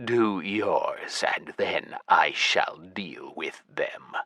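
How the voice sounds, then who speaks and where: Using a growling, put-on character voice with extremely high pitch, a man speaks very slowly. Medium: read story. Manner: cold, curt.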